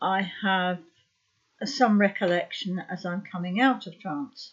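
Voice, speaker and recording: A somewhat breathy woman speaks with ordinary pitch variation and big swings in loudness. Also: medium pitch for a woman. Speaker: psychic medium. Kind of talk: informal talk to camera. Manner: hesitant, many fillers.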